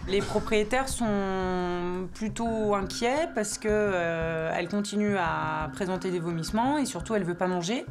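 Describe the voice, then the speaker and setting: A woman talks at a very slow pace with very even loudness. Music plays in the background, and the room echo is audible. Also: medium pitch for a woman, ordinary pitch variation. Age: 30s. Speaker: veterinarian. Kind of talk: documentary interview.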